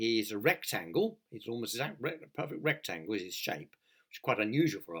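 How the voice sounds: The voice is a natural reading voice. Nothing much sounds behind it.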